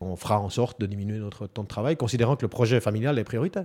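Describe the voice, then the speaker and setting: With a Swiss accent and a dark, mellow tone, the speaker talks at a very fast pace with ordinary pitch variation on a very clean recording with a silent background. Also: man. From Switzerland, canton of Neuchâtel. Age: 40s. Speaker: stay-at-home father. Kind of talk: interview testimony.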